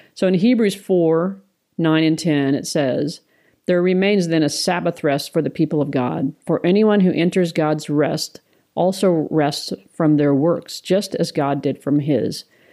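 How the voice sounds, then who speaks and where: Slow-paced and fairly low-pitched, a woman talks in an unremarkable speaking voice with very even loudness and ordinary pitch variation. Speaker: ministry co-founder. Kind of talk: casual chat.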